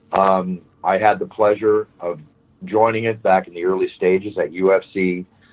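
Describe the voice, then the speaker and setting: A man with an American accent talks in a normal speaking voice, fairly low in pitch, with fairly even intonation. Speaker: fight announcer. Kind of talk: interview answer.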